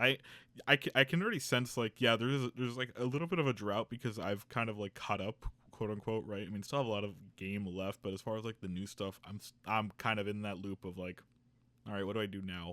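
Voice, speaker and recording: A man talks at a very fast pace in a bright, sharp tone, his fairly low pitch moving with ordinary variation, and the sound is dry and close with no echo. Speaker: podcast host. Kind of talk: casual chat. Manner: stuttering.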